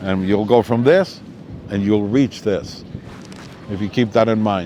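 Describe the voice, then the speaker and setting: A man talks at a moderate pace with a fairly low pitch, and noticeable background noise sits behind him. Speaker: kite flyer and musician. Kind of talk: live talk with audience questions. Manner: loud.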